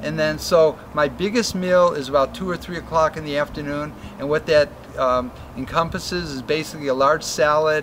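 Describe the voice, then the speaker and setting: Speaking at a fairly quick pace, a man has a fairly high pitch and fairly even intonation. Noticeable background noise is present. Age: 70s. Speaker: tropical fruit farmer. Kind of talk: interview answer. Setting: outdoors.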